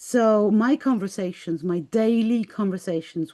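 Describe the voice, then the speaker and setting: A woman with a Greek accent speaks at a fairly slow pace with a medium pitch. Her tone is dark and mellow, and her pitch variation is ordinary. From Greece. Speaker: spiritual artist and life coach. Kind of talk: interview. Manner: halting.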